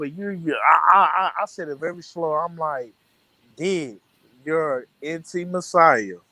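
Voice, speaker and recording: Here a man with a Southern US accent speaks at a high pitch. His tone is bright and sharp, with fairly even intonation. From American South. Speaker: storyteller recounting an argument.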